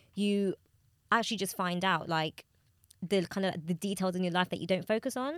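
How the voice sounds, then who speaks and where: A woman with a plain, everyday voice speaks at medium pitch with ordinary pitch variation and a fairly quick pace. The sound is dry and close with no echo, in a very clean recording with a silent background. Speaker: podcast co-host. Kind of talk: casual chat.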